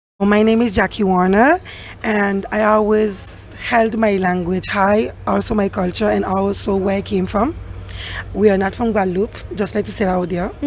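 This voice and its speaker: Moderate pace and fairly even intonation against noticeable background noise. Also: woman, medium pitch for a woman. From Saint Martin. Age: young. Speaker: high school teacher. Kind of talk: casual interview.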